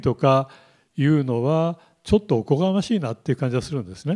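A man's dark, mellow tone comes across over a quiet background. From Japan, Kumamoto; Japan. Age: 70s. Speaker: military analyst. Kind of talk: lecture. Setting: lecture hall with live online stream. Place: classroom. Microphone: handheld.

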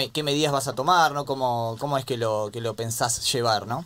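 Here a man speaks in an Argentine accent. His pitch variation is ordinary. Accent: Argentine Spanish (Rioplatense). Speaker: radio sports co-host. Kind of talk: radio interview.

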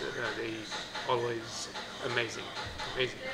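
A man is speaking. Loud background noise runs throughout. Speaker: food vlogger. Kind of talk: casual vlog chat. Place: cafe. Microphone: phone near.

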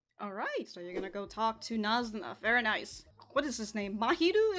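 There is faint music in the background while a woman speaks. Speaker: reaction video creator. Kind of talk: casual reaction commentary. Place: home room.

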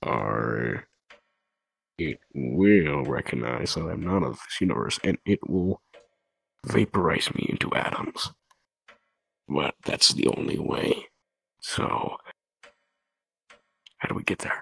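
Here a man puts on a character voice with a very deep, low pitch. He goes at a fairly slow pace with long, frequent pauses. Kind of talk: in-character roleplay dialogue. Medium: machinima. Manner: impatient, rambling. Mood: reckless resolve.

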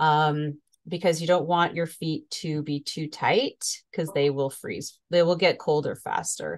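Talking at a fairly slow pace with hardly any pauses, a woman speaks at a fairly low pitch against a quiet background. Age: 50s. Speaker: cycling coach and podcast host. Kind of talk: casual interview. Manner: animated. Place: home room.

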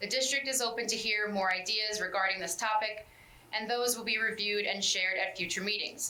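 A woman speaks at a medium pitch with fairly even intonation, with noticeable background noise and audible room echo. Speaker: school board member reporting on parent committee. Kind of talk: committee report at public meeting. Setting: school board meeting. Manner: fast; reading a prepared summary.

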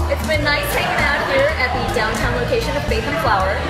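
Over loud music in the background, a woman speaks at a fairly quick pace. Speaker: food vlogger host. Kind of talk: casual vlog chat. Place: bar. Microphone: phone near.

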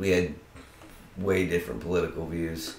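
A man with a very deep, low pitch speaks at a moderate pace in an American accent, with audible room echo. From Arizona and California (Tucson and Monterey); Arizona; California. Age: 30s. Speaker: university student; interview guest. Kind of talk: casual interview; interview answer. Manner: animated. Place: home room. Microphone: camera far.

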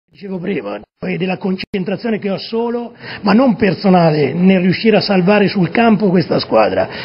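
A man talks in a high-pitched voice with ordinary pitch variation. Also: moderate pace. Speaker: football coach. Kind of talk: TV interview answer. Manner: voice changes suddenly while speaking.

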